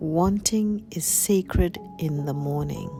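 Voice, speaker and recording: Soft-spoken and calm in tone, a woman speaks at a very deep, low pitch with very wide pitch swings over music in the background. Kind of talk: poetic voiceover vlog narration. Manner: slow, calm.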